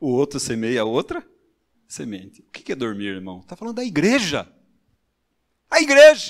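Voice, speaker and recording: A man talks at a moderate pace, stopping often for long pauses. The recording is very clean, with a silent background. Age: 60s. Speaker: preacher. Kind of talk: sermon.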